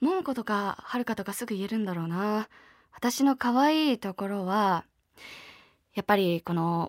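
An unremarkable speaking voice from a woman of medium pitch, lively in intonation at a moderate pace, on a very clean, dry, close recording with a silent background and no echo. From Niigata, Japan. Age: 20s. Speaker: voice actress and idol singer. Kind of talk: interview Q&A on radio.

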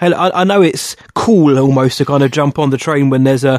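In an English accent, the speaker talks at a fairly quick pace with ordinary pitch variation. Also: man. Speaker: film podcast co-host. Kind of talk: casual chat.

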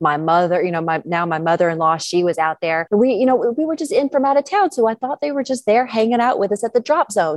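A woman speaks with a Georgia accent. Her intonation is lively. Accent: Southern American (Georgia). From US South, northeast Georgia. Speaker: professional skydiver. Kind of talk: casual interview.

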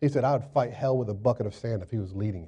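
Speaking with an American accent, a man has a dark, mellow, somewhat breathy tone and ordinary pitch variation. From Florida, US South. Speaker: pastor. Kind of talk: sermon. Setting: church. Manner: animated.

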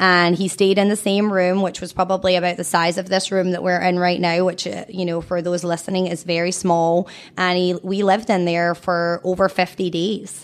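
A woman speaks in a Scottish accent at a medium pitch. Her pace is moderate and her intonation monotone and flat. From Scotland. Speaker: cancer charity founder and mother. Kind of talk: casual interview.

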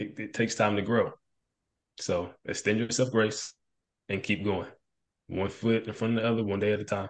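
At a moderate pace, a man speaks with fairly low pitch and monotone, flat intonation, leaving long, frequent pauses. The background is quiet. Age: 30s. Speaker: police officer. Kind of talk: casual chat.

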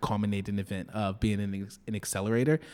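A man's fairly low voice in a monotone, flat delivery, on a very clean recording with a silent background. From Detroit, US Midwest. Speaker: startup founder. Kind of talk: interview. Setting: office.

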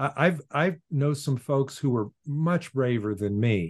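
A man's somewhat breathy, fairly high voice in an American accent, with ordinary pitch variation and a quiet background. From US Pacific Northwest (Portland, Oregon). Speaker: philosopher and author. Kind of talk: interview.

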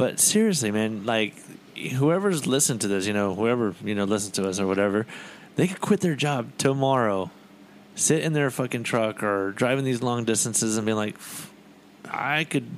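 In an ordinary speaking voice, a man talks at a moderate pace and medium pitch with lively intonation. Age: 30s. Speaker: podcast co-host. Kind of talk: casual chat.

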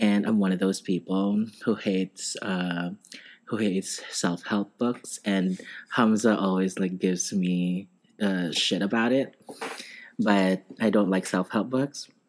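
A man talks at a fairly slow pace in a normal speaking voice, keeping his loudness very even and his intonation fairly even. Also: fairly low pitch for a man. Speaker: nurse. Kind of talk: casual chat.

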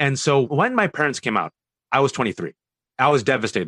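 In a dry, close sound with no echo and a quiet background, a man speaks at a very fast pace. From US West Coast (Bay Area, California). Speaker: author and commentator. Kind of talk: interview.

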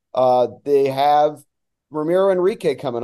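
Against a quiet background, a man with an American accent talks in a dark, mellow tone. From US Northeast, New Jersey. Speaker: soccer play-by-play announcer. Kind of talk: casual interview chat.

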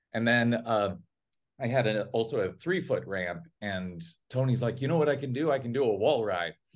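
At a moderate pace, a man with a normal speaking voice and medium pitch speaks with lively intonation. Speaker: film director. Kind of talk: casual chat.

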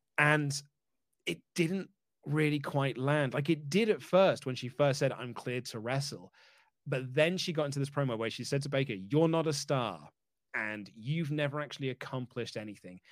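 On a very clean recording with a silent background, a man with an ordinary speaking voice and fairly high pitch talks at a moderate pace with ordinary pitch variation. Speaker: wrestling journalist guest. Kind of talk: casual chat, predictions show.

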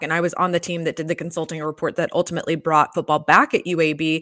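Recorded dry and close with no echo, a woman with an American accent speaks at a fairly low pitch. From US South, Atlanta. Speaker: sports law consultant. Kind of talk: interview. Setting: video call.

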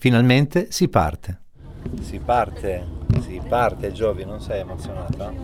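Through noticeable background noise, a man of medium pitch speaks at a fairly slow pace with very wide pitch swings, big swings in loudness, and long, frequent pauses. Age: 40s. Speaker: podcast co-host. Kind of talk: casual chat.

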